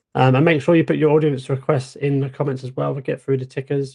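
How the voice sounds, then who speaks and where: Talking very fast in a flat monotone, a man uses a dark, mellow, somewhat breathy voice at medium pitch. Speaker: stock market show co-host. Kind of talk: livestream market analysis. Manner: casual, filler-heavy.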